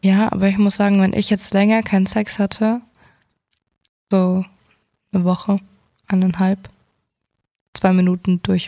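A woman's dark, mellow, somewhat breathy tone at a moderate pace, monotone and flat, very even in loudness, broken by long, frequent pauses. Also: medium pitch for a woman. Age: 20s. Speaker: podcast co-host. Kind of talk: casual chat.

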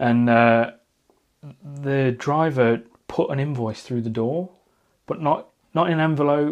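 Against a quiet background, a man with a fairly high voice and a British accent talks at a fairly slow pace with ordinary pitch variation. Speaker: podcast host. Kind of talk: casual chat. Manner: loud.

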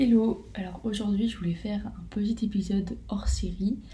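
With audible room echo, a woman speaks at a moderate speed. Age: 20s. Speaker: student podcaster, horse owner. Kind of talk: casual monologue.

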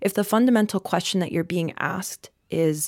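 On a very clean recording with a silent background and a dry, close sound with no echo, a woman with an American accent speaks in a plain, everyday voice. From North Carolina. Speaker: journalist. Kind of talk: group discussion. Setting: studio.

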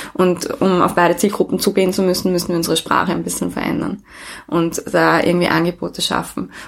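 A woman speaks at a very fast pace. Noticeable background noise sits behind her. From Austria, Vienna. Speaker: co-founder of a women's network. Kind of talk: interview.

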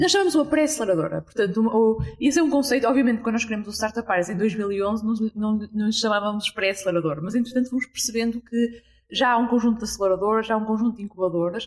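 Speaking at a very fast pace, a woman leaves hardly any pauses. Her fairly high voice holds a very even loudness. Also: ordinary pitch variation. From Portugal, Porto. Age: 20s. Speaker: startup entrepreneur. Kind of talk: interview. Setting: hostel room in Lisbon.

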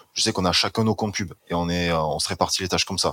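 A man's very deep, low voice comes through dry and close with no echo, his intonation fairly even, on a very clean recording with a silent background. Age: 20s. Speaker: student and marketing agency owner. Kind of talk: casual chat.

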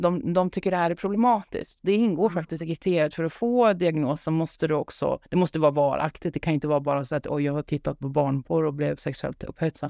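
At a fairly quick pace and with hardly any pauses, a woman speaks in a very deep, low pitch with a dark, mellow tone and ordinary pitch variation, recorded with a dry, close sound with no echo against a quiet background. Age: 50s. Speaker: psychologist. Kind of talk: casual chat.

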